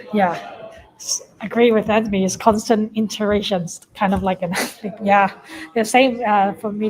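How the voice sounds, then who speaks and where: The voice is monotone and flat, at a moderate pace. Noticeable background noise sits underneath. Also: woman. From Hong Kong. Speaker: former athlete, startup founder. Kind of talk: interview.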